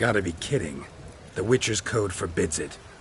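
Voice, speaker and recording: A man uses a put-on character voice at fairly low pitch with a deadpan tone. He keeps a moderate pace over clear background noise. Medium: video game. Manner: terse, deadpan.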